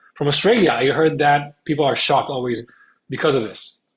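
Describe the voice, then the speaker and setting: A man with an Israeli accent talks at a very fast pace in a somewhat breathy voice. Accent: Hebrew. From Spain. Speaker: content creator and advocate. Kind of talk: interview. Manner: hesitant, many fillers.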